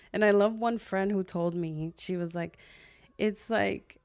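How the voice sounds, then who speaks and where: A woman's normal speaking voice at a medium pitch and moderate pace, with fairly even intonation, on a very clean recording with a silent background. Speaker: social worker and podcaster. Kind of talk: casual chat.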